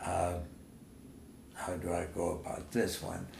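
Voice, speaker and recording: A man's very deep, low, somewhat breathy voice at a fairly slow pace, with audible room echo. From Germany (Nuremberg). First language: German. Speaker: war veteran. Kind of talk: oral history interview. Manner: halting.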